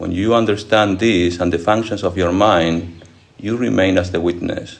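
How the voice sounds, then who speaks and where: Here a man talks at a moderate pace with a very deep, low pitch. His intonation is fairly even. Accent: non-native. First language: not English. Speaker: monk and spiritual teacher. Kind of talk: lecture with audience Q&A. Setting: monastery lecture hall with audience.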